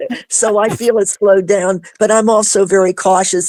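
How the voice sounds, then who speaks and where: On a very clean recording with a silent background, a woman with a dark, mellow tone speaks at a moderate pace with fairly even intonation. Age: 70s. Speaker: alien abduction experiencer. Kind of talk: casual interview chat. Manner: halting.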